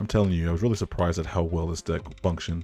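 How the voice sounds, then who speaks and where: A man speaks quietly in a dark, mellow tone. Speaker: gaming YouTuber. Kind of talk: gameplay commentary and deck tech. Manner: quiet, low voice.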